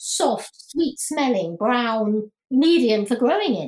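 Speaking with a British accent, a woman uses a high pitch and very wide pitch swings. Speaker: podcast host. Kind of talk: casual interview. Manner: talkative.

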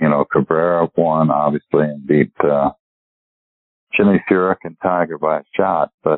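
A man speaks at a moderate pace with an American accent. His pitch is very deep and low, and his intonation stays fairly even. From US, Pennsylvania. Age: 60s. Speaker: retired golf professional. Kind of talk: interview. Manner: hesitant, many fillers.

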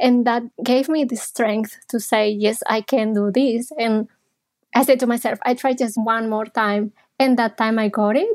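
With a slight Spanish accent, a woman speaks at a fairly slow pace in a fairly high pitch with fairly even intonation, in a very clean recording with a silent background. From Spain (Barcelona). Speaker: psychologist. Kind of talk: interview.

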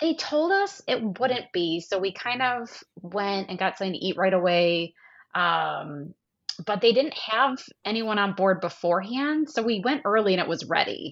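A woman with an American accent has an unremarkable speaking voice at a medium pitch. She talks at a moderate pace with lively intonation. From US Midwest. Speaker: travel agent, cruise guest. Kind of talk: casual chat, trip report.

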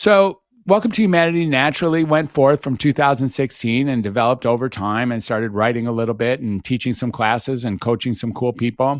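A man's plain, everyday voice with lively intonation at a fairly quick pace. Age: 60s. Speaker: psychiatrist and podcaster. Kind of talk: interview conversation. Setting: remote from home podcast studio. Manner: talkative, fluent.

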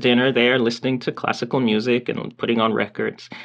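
A man with an American accent, a plain, everyday voice, medium pitch and a fairly quick pace. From US South, Georgia (Milledgeville, near Macon). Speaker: saxophone professor. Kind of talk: interview conversation.

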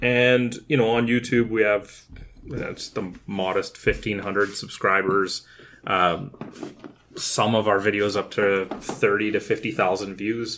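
A man talks at a fairly slow pace in a fairly low pitch. He has an ordinary speaking voice with fairly even intonation. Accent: Canadian. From Kitchener-Waterloo, Ontario, Canada. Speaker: podcast co-host, video game enthusiast. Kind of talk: casual chat.

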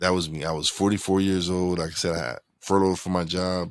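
A man speaks with a very deep, low pitch and fairly even intonation on a very clean recording with a silent background. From Brooklyn, New York. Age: 40s. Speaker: podcaster and casino dealer. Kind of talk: casual interview chat.

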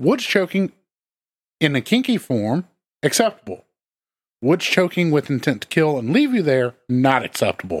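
With a Southern US accent, a man at a fairly high pitch moves at a moderate pace broken by long, frequent pauses, his pitch swinging very widely while his loudness stays very even, in a dry, close sound with no echo. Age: 30s. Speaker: true crime podcast co-host. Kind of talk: casual chat.

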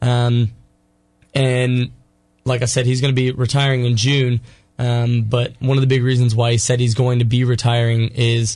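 At a moderate pace, a man speaks in a somewhat breathy, medium-pitched voice with monotone, flat intonation. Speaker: college sports editor. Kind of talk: casual radio interview.

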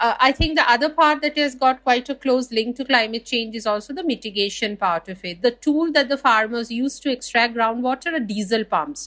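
A woman with an Indian accent speaks at a fairly quick pace with hardly any pauses. Her voice is high, bright and sharp, with ordinary pitch variation. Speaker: water researcher. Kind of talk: interview.

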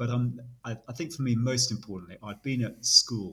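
A man with a British accent speaks at a moderate pace in a bright, sharp tone, in a very clean recording with a silent background. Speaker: British Army officer. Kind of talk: casual interview chat.

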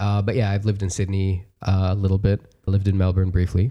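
A man speaks very fast at a fairly low pitch, his somewhat breathy voice dark and mellow in tone, on a very clean recording with a silent background. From Dubai. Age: 20s. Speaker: podcast studio operator. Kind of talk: casual chat.

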